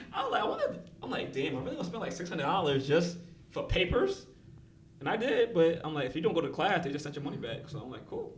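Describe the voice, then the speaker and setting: Amid noticeable background noise and audible room echo, a man with a New York accent talks at a very fast pace with a high pitch and lively intonation. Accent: New York accent, self-described. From Brooklyn, New York. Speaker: record label executive. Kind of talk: casual podcast interview.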